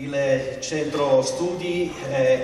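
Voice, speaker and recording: A fairly high-pitched man amid audible room echo and light background noise. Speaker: event curator and host. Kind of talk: live theatre evening introduction to audience. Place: stage.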